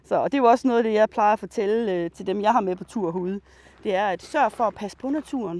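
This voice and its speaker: Very fast speech from a fairly high-pitched woman, with ordinary pitch variation and a dry, close sound with no echo. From Denmark, Djursland (Mols area). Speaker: biologist and nature guide. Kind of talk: guided nature walk. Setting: outdoors.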